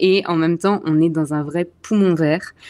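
A woman's fairly low voice with a dark, mellow tone, on a very clean recording with a silent background. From Alsace, eastern France. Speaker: expat, communications officer. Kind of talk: interview conversation.

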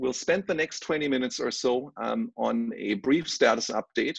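Quiet behind him and dry with no echo, a man's voice moves at a moderate pace. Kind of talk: presentation. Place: home room. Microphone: video call.

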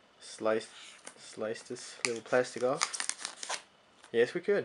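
A very slow pace over noticeable background noise. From Sweden. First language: Swedish. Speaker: tech YouTuber. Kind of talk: unboxing video. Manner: casual, hesitant with many fillers. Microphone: phone near.

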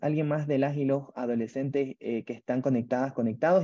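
Against a quiet background, a man speaks at a medium pitch in a dark, mellow tone with ordinary pitch variation. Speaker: webinar moderator. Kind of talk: online webinar moderation. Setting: video call. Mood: friendly, warm. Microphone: earbuds.

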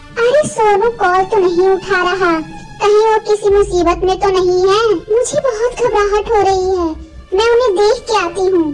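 A cartoonish character voice from a woman, pitched extremely high, with clear music playing in the background. She talks at a moderate pace with hardly any pauses.

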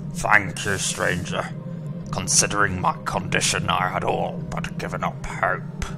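Over loud background noise, a man puts on a raspy character voice, fairly high-pitched for a man. He keeps a moderate pace. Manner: sobbing, desperate.

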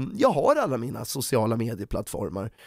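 A man talks in an animated tone. The sound is dry with no echo, and the background is quiet. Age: 30s. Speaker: YouTuber. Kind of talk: commentary video. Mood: critical, sarcastic, annoyed. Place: home room. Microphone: studio mic.

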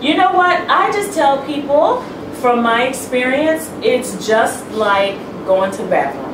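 A high-pitched woman speaks at a fairly slow pace. Audible room echo and noticeable background noise surround her voice. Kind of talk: interview answer. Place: home room.

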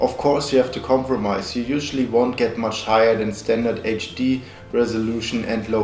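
With a non-native accent, the speaker keeps a moderate pace amid audible room echo and faint music in the background. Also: man. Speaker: tech reviewer. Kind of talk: product review narration. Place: home room.

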